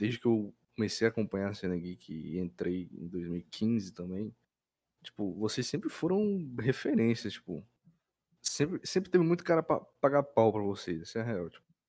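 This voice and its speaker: A man speaks at a moderate pace in a fairly low pitch, with a dark, mellow tone and very wide pitch swings. His loudness swings widely, and the recording is very clean with a silent background. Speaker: podcast co-host. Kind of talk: casual chat.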